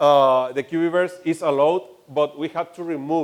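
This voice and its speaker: A man speaking at a fairly slow pace. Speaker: game studio CEO. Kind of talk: conference talk and Q&A. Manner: halting.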